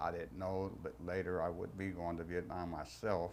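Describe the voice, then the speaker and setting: A man in a Texan accent, very deep and low in pitch, flat and monotone, at a fairly slow pace. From Texas, Fort Worth. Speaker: war veteran. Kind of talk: testimony. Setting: recorded interview.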